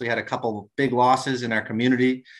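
A man speaks in a normal speaking voice at a medium pitch. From New Brunswick, Canada. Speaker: guest, teacher and former hockey player. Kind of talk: interview.

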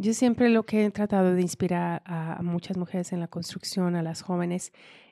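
A woman speaks fairly slowly at a fairly low pitch, with a dark, mellow tone and fairly even intonation. The sound is dry and close with no echo, in a very clean recording with a silent background. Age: young. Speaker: construction industry leader. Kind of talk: interview.

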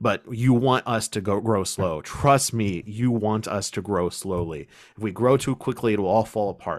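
A man speaks with an ordinary speaking voice, pitched fairly low, with ordinary pitch variation. The recording is very clean, with a silent background. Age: 20s. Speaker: podcast host, pagan organization leader. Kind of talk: casual chat.

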